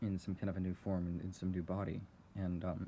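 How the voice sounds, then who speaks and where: Soft-spoken and at a fairly quick pace, a man talks in a very deep, low, dark and mellow voice with fairly even intonation. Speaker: channel owner recording personal thoughts. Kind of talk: casual rambling talk about philosophy, unscripted. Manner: soft-spoken, quiet, hesitant with fillers.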